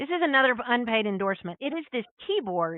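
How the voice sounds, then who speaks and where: An animated woman talks with an American accent. Her pitch swings very widely. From US South. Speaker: entrepreneur. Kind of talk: casual interview.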